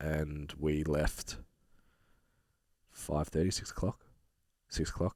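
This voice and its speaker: In an Australian accent, a man with a very deep, low pitch talks with vocal fry and fairly even intonation. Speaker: fitness podcast co-host. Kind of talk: casual chat.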